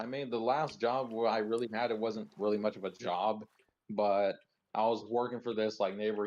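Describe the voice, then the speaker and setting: A man with a fairly low pitch and fairly even intonation talks at a fairly quick pace. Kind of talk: casual chat. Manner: fast.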